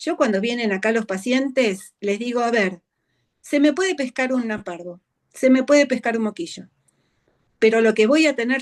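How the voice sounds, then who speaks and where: Fairly slow pace with ordinary pitch variation. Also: woman. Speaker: veterinary behaviorist. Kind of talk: interview.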